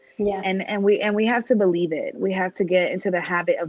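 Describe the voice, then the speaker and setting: A woman with an American accent, fairly even intonation and music in the background. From New York. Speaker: women's community founder, speaker. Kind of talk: casual interview.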